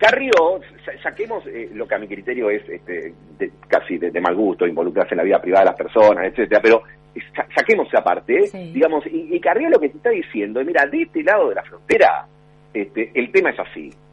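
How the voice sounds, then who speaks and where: A man at a fairly quick pace, with big swings in loudness and noticeable background noise. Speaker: political analyst. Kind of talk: phone interview. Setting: phone call. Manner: halting, many repetitions.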